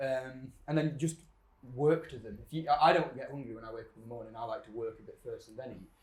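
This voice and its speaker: Here is a man with a Yorkshire accent. His fairly high voice is somewhat breathy. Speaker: fitness coach. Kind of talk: casual chat.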